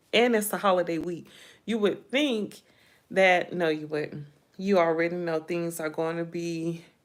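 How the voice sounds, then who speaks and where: At a fairly slow pace, the speech shows ordinary pitch variation. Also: woman, fairly low pitch for a woman. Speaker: YouTube commentary vlogger. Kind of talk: casual livestream chat.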